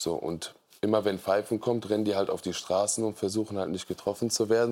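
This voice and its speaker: On a very clean recording with a silent background, a man speaks at a fairly low pitch. His fairly quick delivery is monotone, with flat intonation. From Germany, Siegburg area. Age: 30s. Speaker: podcaster and poetry slammer. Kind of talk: talk show discussion. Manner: casual, colloquial.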